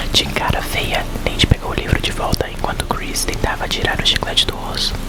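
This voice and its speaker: Whispering at a moderate pace, a man can be heard through noticeable background noise. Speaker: ASMR content creator. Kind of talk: whispered reading aloud of a children's horror book.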